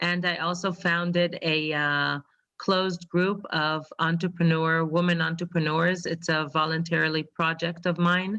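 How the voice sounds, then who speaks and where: In an Israeli accent, the voice holds a monotone, flat intonation and very even loudness. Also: woman, fairly low pitch for a woman, fairly slow pace. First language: Hebrew. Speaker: financial advisor. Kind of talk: testimony. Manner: halting.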